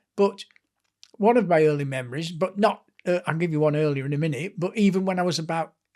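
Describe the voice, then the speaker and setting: Talking very fast, a man with a Lancashire accent has a high voice and ordinary pitch variation. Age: 70s. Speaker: author and sports historian. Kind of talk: interview storytelling.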